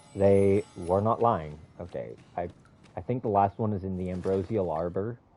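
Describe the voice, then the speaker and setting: Music plays in the background as a man speaks at a very deep, low pitch. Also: ordinary pitch variation, moderate pace. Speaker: video game streamer. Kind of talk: casual gameplay commentary. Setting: live stream. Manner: halting, stutters.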